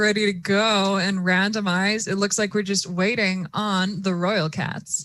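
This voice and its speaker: A bright, sharp tone on a very clean recording with a silent background. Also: woman. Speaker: robotics competition commentator. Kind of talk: live commentary. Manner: animated.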